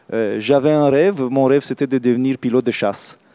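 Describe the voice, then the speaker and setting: Dark, mellow tone from a man with a Romanian accent. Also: dry, close sound with no echo. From Romania, Craiova. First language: Romanian (speaking French). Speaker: real estate executive. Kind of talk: interview. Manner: hesitant, many fillers.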